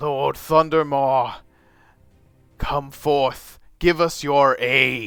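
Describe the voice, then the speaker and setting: Loud and fairly high-pitched, a man puts on a character voice at a very slow pace with long, frequent pauses. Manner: loud, commanding.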